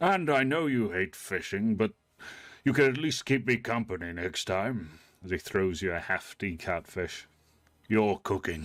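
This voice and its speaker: In a put-on character voice, the speaker uses lively intonation at a moderate pace on a very clean recording with a silent background. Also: man, fairly low pitch for a man. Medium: actual play. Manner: calm, warm, paternal.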